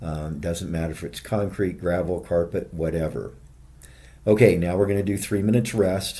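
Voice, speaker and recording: A man with a very deep, low pitch and a dark, mellow tone talks at a moderate pace, with audible room echo around him. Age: 60s. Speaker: fitness video creator. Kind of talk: workout tutorial. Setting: hotel gym. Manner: casual, conversational.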